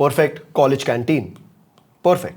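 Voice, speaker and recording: Speaking with an Indian accent, a man talks at a moderate pace in an animated tone with very wide pitch swings. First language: Hindi. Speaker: communication coach. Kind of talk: live online masterclass.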